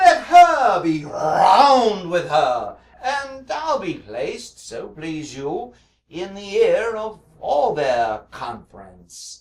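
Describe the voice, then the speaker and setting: A man speaks in a put-on character voice, pitched high for a man and delivered at a very slow pace. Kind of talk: Shakespearean stage verse. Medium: stage play. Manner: hesitant, halting.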